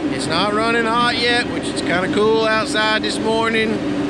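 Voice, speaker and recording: Over loud background noise, a man talks at a moderate pace with ordinary pitch variation, the sound itself dry with no echo. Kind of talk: casual vlog chat. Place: forest. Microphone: phone near.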